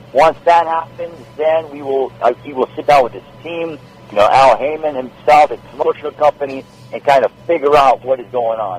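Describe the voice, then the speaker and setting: A man talks at a moderate pace with ordinary pitch variation and big swings in loudness. The sound is dry and close with no echo, and there is noticeable background noise. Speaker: sports anchor and boxing ring announcer. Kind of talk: podcast interview answer about boxing. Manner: conversational, friendly, talkative.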